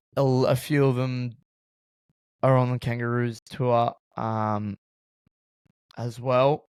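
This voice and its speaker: A man with an Australian accent speaks at a medium pitch in a monotone, flat delivery, with a dry, close sound and no echo. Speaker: sports podcast host. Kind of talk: casual sports podcast chat.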